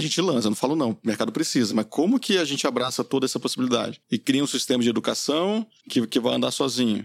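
Speaking at a very fast pace with hardly any pauses, a man keeps a medium pitch, ordinary pitch variation and very even loudness. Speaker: entrepreneur, company founder. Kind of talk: casual interview conversation. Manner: calm, relaxed.

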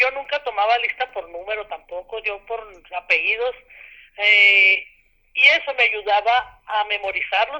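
A woman speaks at a fairly slow pace with a fairly high pitch. Her tone is bright and sharp, with ordinary pitch variation. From Mexico, Ciudad Madera, Chihuahua. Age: 60s. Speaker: retired teacher. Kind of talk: radio interview. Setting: phone call.

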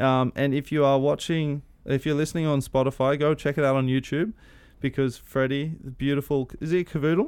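Someone with an Australian accent speaks at a fairly quick pace with fairly even intonation. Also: man, fairly high pitch for a man. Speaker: podcast host. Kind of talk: casual interview.

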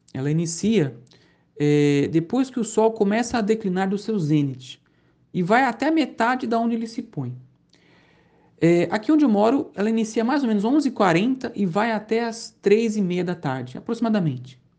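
A man speaks with a Brazilian accent at a moderate pace. His high pitch makes very wide swings. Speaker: Islam teacher, convert. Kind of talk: lecture. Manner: halting.

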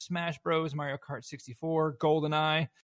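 A man with a Southern US accent speaks at a fairly high pitch, recorded with a dry, close sound and no echo. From US South. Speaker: esports event organizer. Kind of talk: casual chat.

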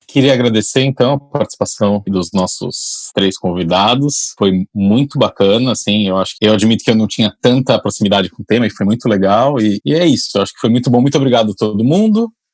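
With a normal speaking voice, a man talks at a fairly quick pace with ordinary pitch variation. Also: medium pitch for a man. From São Paulo, Brazil. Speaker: podcast co-host and family doctor. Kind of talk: casual discussion.

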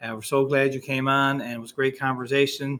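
In a Newfoundland accent, a man speaks with a fairly high pitch and a bright, sharp tone. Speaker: high school teacher. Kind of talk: school podcast chat. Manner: fast talker.

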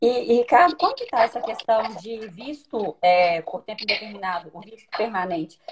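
A woman with a normal speaking voice talks at a moderate pace with hardly any pauses, her pitch fairly high and her intonation lively. Her loudness swings widely. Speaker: live stream host, lawyer. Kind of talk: live stream interview.

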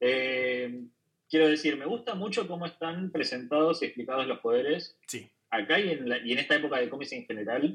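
With lively intonation, a man at a fairly high pitch uses an ordinary speaking voice at a moderate pace. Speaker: comic artist. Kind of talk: casual chat. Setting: video call. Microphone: remote call audio, poorer quality.

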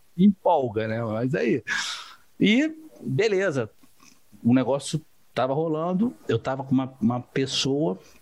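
This man talks at a very slow pace, with long, frequent pauses. His intonation is lively. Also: medium pitch for a man. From Rio de Janeiro, Brazil. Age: 30s. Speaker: entrepreneur, civil engineer turned online seller. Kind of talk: interview, casual chat.

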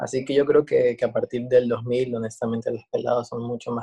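The man's voice comes through with a dry, close sound and no echo. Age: 20s. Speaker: drag queen and journalist. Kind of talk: casual chat.

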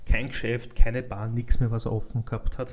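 A man with an Austrian accent speaks at medium pitch in a somewhat breathy, monotone voice with flat intonation. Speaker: podcast host. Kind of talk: casual chat.

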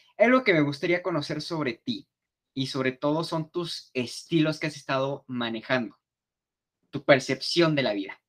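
With a slight Mexico City accent, the speaker talks at a moderate pace with lively intonation, and the sound is dry and close with no echo. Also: man, fairly high pitch for a man. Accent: slight Mexico City sing-song. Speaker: podcast host. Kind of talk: casual chat.

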